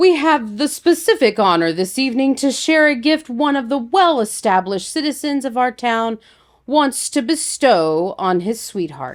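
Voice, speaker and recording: A female-sounding voice puts on a high-pitched character voice at a moderate pace. The recording is very clean, with a silent background. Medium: read story. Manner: formal, ceremonial.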